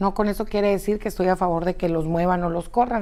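A woman's voice with a dark, mellow tone. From Mexico, Chihuahua. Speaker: news presenter. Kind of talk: live news show with commentary. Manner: animated. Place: studio.

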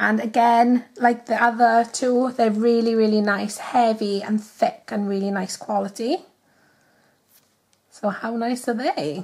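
Here a woman speaks with a Welsh accent at a fairly slow pace. Her fairly high voice shows ordinary pitch variation. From Wales. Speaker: nail art youtuber. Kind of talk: casual talk to camera. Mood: cheerful, chatty.

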